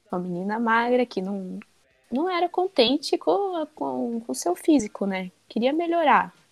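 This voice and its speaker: Very wide pitch swings run through this voice, with music playing in the background. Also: woman, fairly high pitch for a woman, fairly slow pace. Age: 20s. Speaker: gym member. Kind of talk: casual chat.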